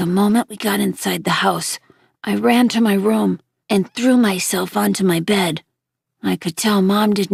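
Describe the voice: Plain reading aloud against a quiet background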